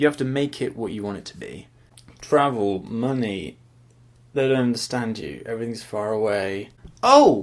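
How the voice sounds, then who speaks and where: A speaker mumbles at a moderate pace in an English accent, with ordinary pitch variation. Loudness swings widely, and long pauses come often. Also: man. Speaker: student vlogger. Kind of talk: casual vlog. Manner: mumbling; rambling, hesitant.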